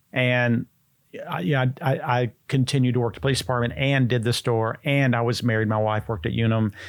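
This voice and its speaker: In a plain, everyday voice with an American accent, a man talks at a fairly quick pace and medium pitch, with ordinary pitch variation and very even loudness, on a very clean recording with a silent background. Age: 60s. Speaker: health food store founder. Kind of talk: interview.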